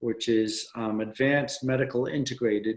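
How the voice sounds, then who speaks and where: A man's ordinary speaking voice, fairly even intonation, moderate pace. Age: 60s. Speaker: former Navy SEAL, author and adventure racer. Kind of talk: podcast interview.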